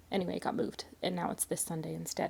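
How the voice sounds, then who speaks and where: Her voice has a dark, mellow tone with vocal fry as this woman speaks. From Canada, British Columbia. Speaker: knitting vlogger. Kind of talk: casual vlog chat. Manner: soft-spoken.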